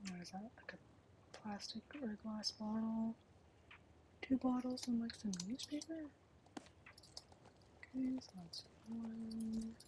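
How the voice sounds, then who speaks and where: A soft-spoken woman's fairly high voice, very slow with long, frequent pauses, ordinary pitch variation and big swings in loudness, over noticeable background noise. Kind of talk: ASMR gaming let's play, casual commentary.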